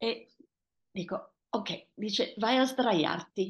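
With ordinary pitch variation, the speaker's voice comes across somewhat breathy. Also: woman. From Tanzania, to Italian parents. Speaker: author. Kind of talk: personal storytelling interview. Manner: hesitant, repeating words.

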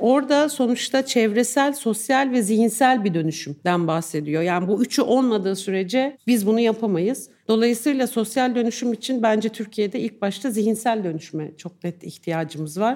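A woman's dark, mellow tone with lively intonation, at a moderate pace with hardly any pauses. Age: 50s. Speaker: journalist. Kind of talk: live podcast interview. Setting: live recording with audience.

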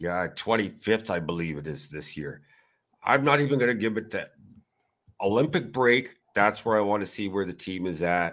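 On a very clean recording with a silent background, a man in a plain, everyday voice speaks at a moderate pace with a fairly low pitch and lively intonation. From Canada. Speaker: hockey blogger. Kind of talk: casual chat.

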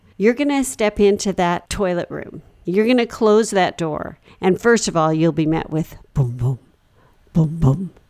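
A woman speaks fairly slowly in an ordinary speaking voice. Her fairly low pitch moves with lively intonation. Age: 40s. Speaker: comedy podcast co-host. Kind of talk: improvised comedy chat.

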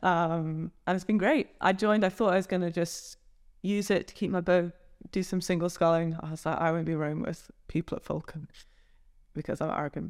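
A woman with an unremarkable speaking voice, fairly low pitch, fairly even intonation and a fairly quick pace, in a very clean recording with a silent background. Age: 20s. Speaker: rower and doctor. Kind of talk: interview. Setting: rowing club boathouse.

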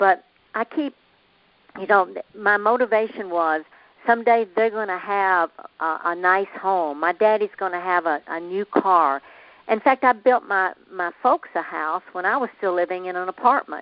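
This woman talks at a medium pitch with a Southern US accent. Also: ordinary pitch variation, moderate pace. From US South. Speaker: motivational speaker. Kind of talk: interview. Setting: phone call.

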